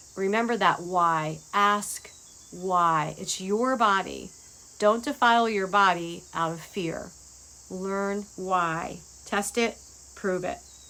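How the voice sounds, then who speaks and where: The woman's tone is bright and sharp, at a medium pitch with ordinary pitch variation. She speaks at a very slow pace. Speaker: health vlogger sharing seminar notes. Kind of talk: casual reading from notes. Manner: halting, occasional stammering.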